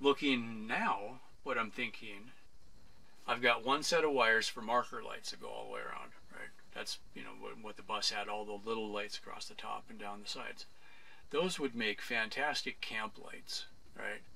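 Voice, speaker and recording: A man talks at a moderate pace. His loudness swings widely. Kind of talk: casual vlog chat. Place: bus.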